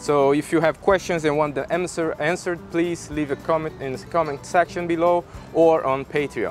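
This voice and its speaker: Over faint background music, a man speaks at a moderate pace with ordinary pitch variation, the sound dry with no echo. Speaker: beekeeping channel host. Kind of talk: casual vlog chat.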